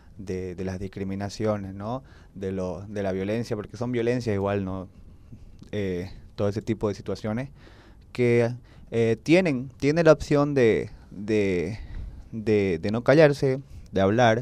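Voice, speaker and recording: A man's fairly low, dark and mellow voice at a fairly slow pace, broken by long, frequent pauses. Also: ordinary pitch variation. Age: 20s. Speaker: youth activist; podcast guest. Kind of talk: personal testimony in panel chat. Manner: hesitant, many fillers. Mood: earnest, reflective. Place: studio. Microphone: handheld.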